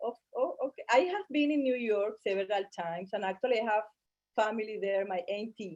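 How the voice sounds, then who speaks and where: Speaking with a Spanish accent, a woman talks at a fairly quick pace and fairly high pitch with ordinary pitch variation, in a dry, close sound with no echo. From Colombia. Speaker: model and fashion designer. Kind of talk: interview. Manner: halting.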